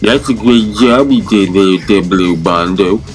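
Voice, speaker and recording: Clear music plays behind a man doing a put-on character voice. He speaks at a fairly low pitch and a fairly slow pace. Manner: cheek pulled out, distorted.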